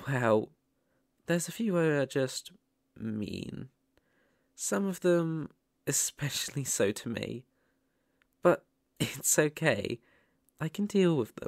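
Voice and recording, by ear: In a put-on character voice with vocal fry and a fairly high pitch, a man speaks slowly with lively intonation and long, frequent pauses, in a very clean recording with a silent background and a dry, close sound with no echo.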